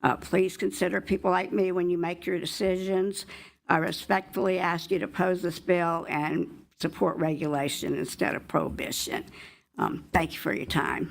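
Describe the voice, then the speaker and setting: Against a silent background on a very clean recording, a woman with vocal fry and a fairly low pitch speaks at a moderate pace with ordinary pitch variation. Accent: Southern US. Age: 70s. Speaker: member of the public testifying. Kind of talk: public testimony. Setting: legislative committee hearing room. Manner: hesitant, with many fillers.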